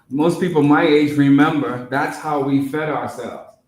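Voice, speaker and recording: Audible room echo surrounds a man speaking at a fairly slow pace. His voice sits fairly high in pitch. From Bermuda. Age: 60s. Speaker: presenter on local food and soil. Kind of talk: public talk.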